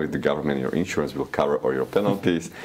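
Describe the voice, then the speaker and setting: Over noticeable background noise, a man with a Slovak accent talks at a very fast pace in a very deep, low pitch. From Slovakia. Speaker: crypto expert. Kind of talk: interview. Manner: halting, many repetitions.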